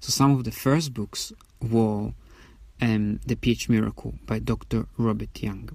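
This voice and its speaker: A man with a non-native accent at a very slow pace. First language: not English. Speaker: podcast host. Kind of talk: solo monologue. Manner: halting, many fillers.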